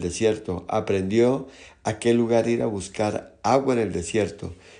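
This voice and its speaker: Heard with audible room echo, a man speaks at medium pitch in a dark, mellow tone with fairly even intonation. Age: 60s. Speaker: pastor. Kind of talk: sermon.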